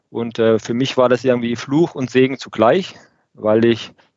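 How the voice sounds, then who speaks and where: Speaking at a medium pitch, a man keeps his intonation fairly even and his pace moderate. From Lake Constance region, southern Germany. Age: 30s. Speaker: production manager. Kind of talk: interview podcast conversation. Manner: hesitant with many fillers.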